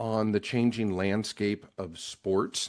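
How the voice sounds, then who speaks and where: Over a quiet background, a man speaks with a Midwestern American accent. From Nebraska. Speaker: podcast host. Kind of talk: podcast interview. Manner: halting, with repeated words.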